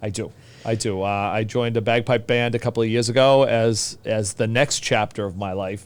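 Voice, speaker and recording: Recorded very cleanly against a silent background, a man speaks with a Boston accent. His medium pitch holds fairly even intonation at a moderate pace. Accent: thick Boston. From Boston, US. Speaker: teacher. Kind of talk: casual chat.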